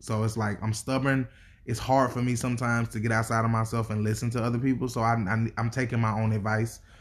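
In a very clean recording with a silent background, a somewhat breathy man talks very fast at a medium pitch, with very even loudness and a monotone, flat intonation. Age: 30s. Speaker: podcast co-host. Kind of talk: casual chat.

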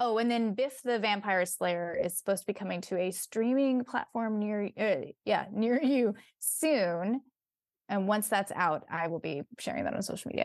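A woman's fairly high voice with an American accent and lively intonation, at a moderate pace, in a dry, close sound with no echo against a quiet background. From US West Coast, San Francisco Bay Area. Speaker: actress and comedic performer. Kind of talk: casual interview chat.

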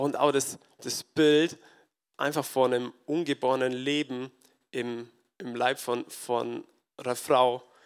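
Very slowly and with long, frequent pauses, a man speaks at a medium pitch in a flat monotone. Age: 20s. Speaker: farmer and lay preacher. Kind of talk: sermon. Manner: halting.

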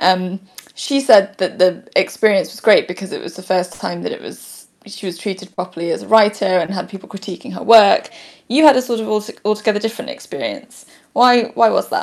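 A woman talks fairly quickly at a medium pitch with ordinary pitch variation. Her voice has vocal fry, and her loudness swings widely. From Manchester, England. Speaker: podcast co-host. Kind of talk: interview chat.

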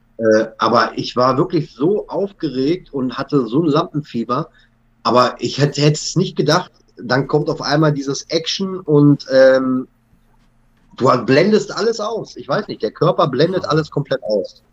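This man has an unremarkable speaking voice, fairly high in pitch, with lively intonation at a moderate pace. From western Germany (North Rhine-Westphalia). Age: 30s. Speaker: TV actor. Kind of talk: casual chat.

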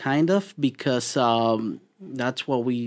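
The recording is very clean, with a silent background. A man with a Spanish accent speaks at a medium pitch with ordinary pitch variation. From Mexico. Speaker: meal prep business owner. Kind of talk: interview conversation. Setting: studio.

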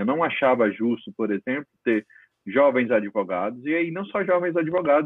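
The speaker is a man with a fairly high pitch. He keeps a moderate pace, and his intonation is lively. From Paraíba, northeastern Brazil. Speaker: legal management consultant. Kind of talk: interview conversation. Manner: halting, with frequent fillers.

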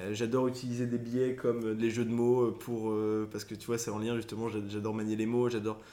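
A man of medium pitch speaks at a fairly quick pace, his tone dark and mellow and his intonation monotone and flat. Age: 20s. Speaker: content creator. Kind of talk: casual chat.

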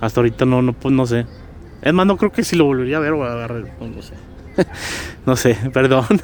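Over noticeable background noise, a man at medium pitch talks at a fairly quick pace with ordinary pitch variation, big swings in loudness and long, frequent pauses. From Guadalajara, Jalisco, Mexico. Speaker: community activist. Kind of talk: interview. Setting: outdoors in a park. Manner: halting, with many repetitions.

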